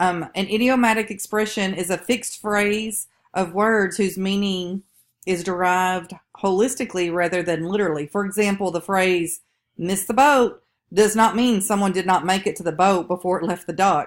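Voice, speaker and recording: A woman with a strong Southern US accent speaks at medium pitch with fairly even intonation. The recording is very clean, with a silent background. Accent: strong Southern drawl. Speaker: college instructor. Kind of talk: recorded lecture. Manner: casual with fillers.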